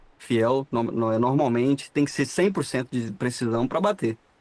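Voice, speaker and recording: Medium in pitch and moderate in pace, this man has an unremarkable speaking voice. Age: 20s. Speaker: dental radiologist, 3D printing specialist. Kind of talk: casual podcast interview.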